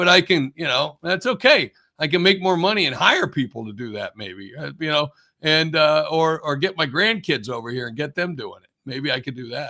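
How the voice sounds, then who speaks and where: A man uses lively intonation and a fairly high pitch. Vocal fry runs through his voice. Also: moderate pace. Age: 60s. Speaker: business executive and author. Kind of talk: interview conversation. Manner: halting, many false starts.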